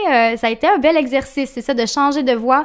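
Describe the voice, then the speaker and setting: This is a woman speaking. She has a Quebec accent. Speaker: author. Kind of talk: interview. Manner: halting, many fillers.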